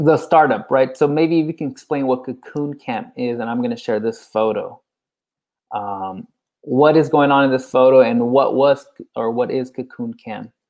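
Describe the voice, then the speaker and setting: Moderate-paced speech in a Californian accent. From San Francisco. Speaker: podcast host. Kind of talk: casual interview.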